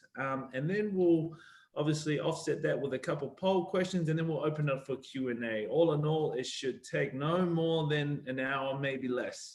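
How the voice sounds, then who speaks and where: Fairly high in pitch with ordinary variation, a man speaks at a moderate pace. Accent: New Zealand. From New Zealand. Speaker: panel host, rugby player and board member. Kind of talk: online panel discussion.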